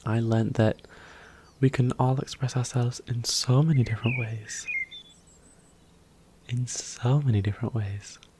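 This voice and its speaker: A man at a moderate pace with long, frequent pauses, a relaxed tone and fairly even intonation, over noticeable background noise. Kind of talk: soft-spoken ASMR roleplay talk to the viewer. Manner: soft, calming, relaxed.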